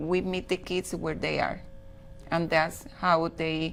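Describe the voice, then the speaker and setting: A woman in a Spanish accent, fairly slow and monotone with flat intonation. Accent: Spanish accent, noticeable. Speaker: school director. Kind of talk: TV interview.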